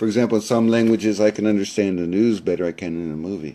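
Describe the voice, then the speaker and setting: With an American accent, a man speaks at a very fast pace in a dark, mellow tone. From US South, South Florida. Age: 60s. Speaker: language learner and university teacher. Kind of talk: live-streamed talk with audience questions. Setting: live stream. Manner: halting, many fillers.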